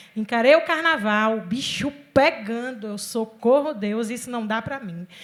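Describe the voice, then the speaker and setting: A woman's fairly high, animated voice at a fairly slow pace, with ordinary pitch variation and big swings in loudness. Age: 40s. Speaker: city official and cultural producer. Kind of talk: panel discussion.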